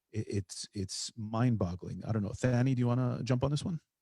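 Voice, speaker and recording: A man with an American accent and an unremarkable speaking voice, at a fairly quick pace with ordinary pitch variation, over a quiet background with a dry, close sound and no echo. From US Midwest. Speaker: podcast host. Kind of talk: casual chat.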